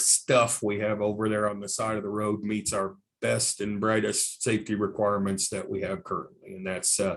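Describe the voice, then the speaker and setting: Against a quiet background, a man talks at a moderate pace in a fairly low voice. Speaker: transportation engineer presenter. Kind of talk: public meeting presentation. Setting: virtual public meeting. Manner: animated.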